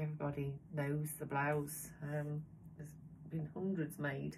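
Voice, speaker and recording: The speaker talks at a fairly quick pace with a Birmingham accent. The voice is somewhat breathy. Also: woman. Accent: Midlands English, near Birmingham. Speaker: sewing vlogger. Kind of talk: casual chat. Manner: hesitant, many fillers.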